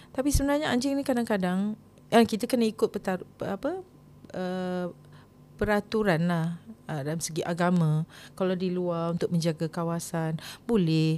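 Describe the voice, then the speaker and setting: This woman's lively intonation comes at a moderate pace and a medium pitch. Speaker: singer hosting a personal storytelling podcast. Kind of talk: casual storytelling monologue. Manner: halting, many fillers.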